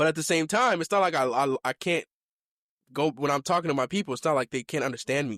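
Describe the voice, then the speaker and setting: On a very clean recording with a silent background and a dry, close sound free of echo, a man with a fairly high pitch speaks with lively intonation. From Kenya (born Mombasa, family from Limuru). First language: Kikuyu (also speaks Swahili). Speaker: podcast host. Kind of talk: casual chat. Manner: casual, with many fillers and restarts.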